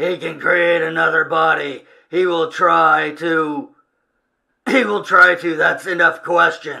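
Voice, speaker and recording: A man puts on a character voice with a high pitch. He speaks at a very slow pace. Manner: curt, gruff.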